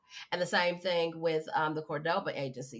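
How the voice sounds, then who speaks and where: Speaking at a moderate pace, a woman with a plain, everyday voice talks at a fairly low pitch. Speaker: podcast host. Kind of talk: casual interview chat.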